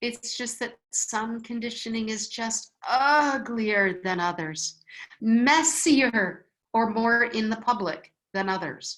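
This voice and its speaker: A woman with a Wisconsin accent and a fairly high pitch talks at a very slow pace with ordinary pitch variation. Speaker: spiritual teacher. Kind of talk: online class talk reading viewer comments. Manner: conversational, frequent fillers.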